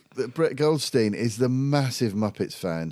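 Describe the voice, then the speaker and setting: With a British accent, a man speaks in very wide pitch swings. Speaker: podcast host. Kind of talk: casual chat.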